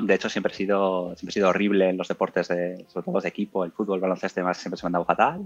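Music plays in the background. A man speaks with a very deep, low pitch and fairly even intonation. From Spain, Burgos. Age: 30s. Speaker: amateur marathon runner. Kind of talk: interview.

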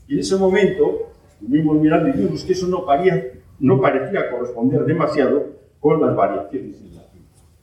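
With audible room echo, a man speaks at a fairly high pitch with lively intonation. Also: fairly quick pace. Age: 70s. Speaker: geology professor. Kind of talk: lecture.

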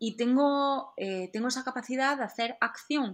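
This woman's voice is high-pitched, with ordinary pitch variation, and she speaks at a fairly slow pace. The recording is very clean, with a silent background. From southeastern Spain. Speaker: actress and stunt double. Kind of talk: interview.

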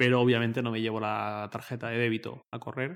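Here a man speaks at a moderate pace with medium pitch. He has an ordinary speaking voice. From Spain, Torrent (Valencia). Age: 20s. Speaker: tech journalist. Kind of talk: casual chat.

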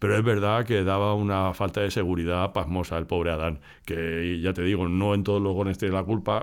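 A man's very deep, low voice, monotone and flat, at a fairly quick pace with hardly any pauses and very even loudness. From Spain, Madrid area. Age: 50s. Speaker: podcast host. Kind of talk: casual chat.

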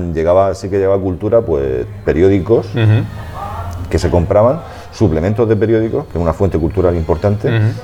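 Behind a man's very deep, low voice there is noticeable background noise. He speaks at a fairly quick pace with ordinary pitch variation. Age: 40s. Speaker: science writer. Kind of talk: interview. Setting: café.

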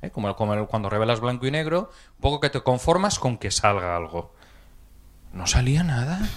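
In a very clean recording with a silent background, a man at a medium pitch speaks at a moderate pace with very wide pitch swings. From Spain, Alicante province. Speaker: audience member. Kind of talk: audience question. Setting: stage with audience.

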